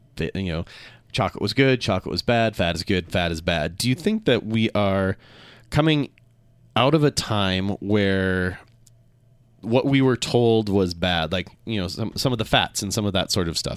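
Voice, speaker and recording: This man has a plain, everyday voice, set fairly low with ordinary pitch variation and delivered at a moderate pace. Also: very clean recording, silent background. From Minnesota. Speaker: radio talk show host. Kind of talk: radio talk show interview.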